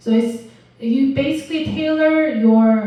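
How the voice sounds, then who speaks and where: A woman with a non-native accent speaks with lively intonation in a room with audible echo. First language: not English. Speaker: university lecturer. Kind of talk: lecture. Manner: halting, many fillers.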